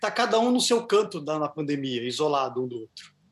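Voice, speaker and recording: With lively intonation, a man keeps to a moderate speed. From southern Brazil. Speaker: band musician. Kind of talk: casual interview. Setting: video call.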